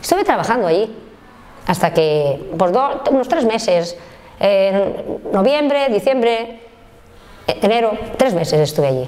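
A woman talks at a fairly slow pace with long, frequent pauses. Her fairly high pitch swings very widely. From Spain, Valencia region (Oliva); Valencia, Spain. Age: 60s. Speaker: factory worker and trade unionist; factory worker. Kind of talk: life story interview. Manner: halting. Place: home room.

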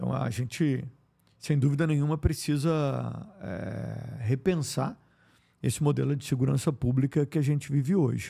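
A man's somewhat breathy, dark, mellow voice at a medium pitch, with long, frequent pauses, on a very clean recording with a silent background. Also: ordinary pitch variation, moderate pace. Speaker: politician and public health official, family doctor. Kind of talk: interview. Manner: frequent filler hesitations; articulate.

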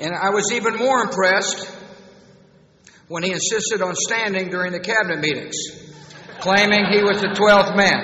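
In a room with audible echo, a man with an American accent and a high pitch for a man talks at a moderate pace, his intonation fairly even and his speech broken by long, frequent pauses. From United States, Texas. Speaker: U.S. president giving a commencement speech. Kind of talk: commencement speech with humor. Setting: large auditorium, public address system. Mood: warm, humorous. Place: hall. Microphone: podium.

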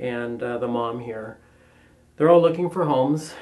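Moderate pacing from a man. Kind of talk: pet adoption presentation.

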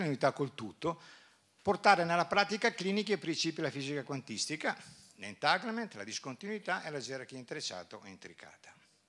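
A man talks very fast in a high, bright, sharp voice with lively intonation. His loudness swings widely. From northern Italy, Bergamo area; northern Italy. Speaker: doctor and conference speaker; conference speaker. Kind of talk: conference talk. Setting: stage with audience. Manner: halting, with repetitions. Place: hall. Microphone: handheld.

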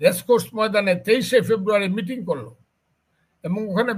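With ordinary pitch variation, this man's voice sits high. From Bangladesh. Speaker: BNP politician. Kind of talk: heated interview. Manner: animated, sarcastic repetition.

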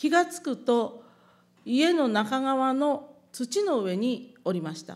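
Lively intonation carries words that are spoken extremely slowly. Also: woman. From Japan (Hiroshima); Japan. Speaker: atomic bomb survivor. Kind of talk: testimony. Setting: public event with audience. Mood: solemn, calm recollection. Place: hall. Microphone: podium.

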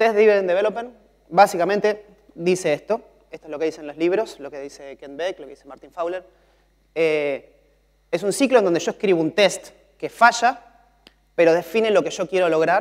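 Against a quiet background, a man talks at a high pitch and moderate pace with ordinary pitch variation, long, frequent pauses and big swings in loudness. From Argentina. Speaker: mobile software developer; conference speaker. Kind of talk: conference talk. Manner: frequent filler 'eh' hesitations. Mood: relaxed, conversational. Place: stage. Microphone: lapel.

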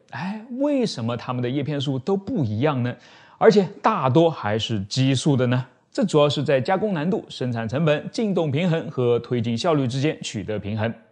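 Over a quiet background, a man speaks at a moderate pace with very wide pitch swings. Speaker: science channel host. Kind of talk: science explainer. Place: studio.

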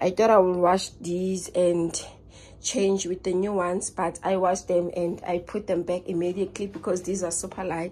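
A woman's dark, mellow voice in a monotone, flat intonation, at a moderate pace. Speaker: home vlogger. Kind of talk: casual vlog chat. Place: home room. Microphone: phone near.

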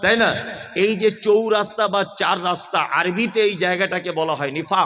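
This man's voice is raised and projected, high in pitch, with fairly even intonation. His loudness swings widely, and there is noticeable background noise. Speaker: Islamic preacher. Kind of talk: sermon. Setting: religious gathering at a madrasa.

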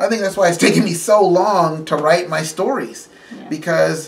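A man talks at a moderate pace in a high pitch with ordinary pitch variation. His loudness swings widely. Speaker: vlogger. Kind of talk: casual vlog chat, personal testimony. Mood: reflective, candid, some laughter.

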